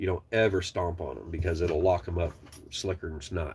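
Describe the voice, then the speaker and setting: A man with a very deep, low voice speaks in an animated, somewhat breathy way at a fairly quick pace, on a very clean recording with a silent background. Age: 40s. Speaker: truck driver trainer and channel owner. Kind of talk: casual live stream chat. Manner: animated, rambling conversational.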